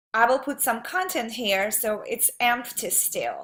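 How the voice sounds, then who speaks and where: Her voice is high-pitched, and this woman has a bright, sharp tone. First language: not English. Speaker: online marketer. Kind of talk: tutorial. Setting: home office. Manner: halting, many fillers.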